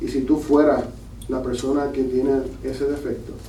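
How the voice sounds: A man with a dark, mellow tone speaks at medium pitch and a moderate pace, his intonation fairly even, with audible room echo.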